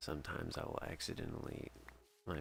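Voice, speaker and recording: A man is speaking. He is soft-spoken. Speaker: gaming streamer and music composer. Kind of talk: casual live stream chat while gaming. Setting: home stream, late night. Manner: halting, many fillers.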